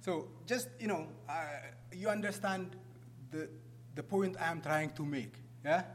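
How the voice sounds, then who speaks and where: Over noticeable background noise, a man with an Ethiopian accent speaks in a fairly high voice. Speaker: refugee program manager. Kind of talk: public talk. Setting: stage with audience.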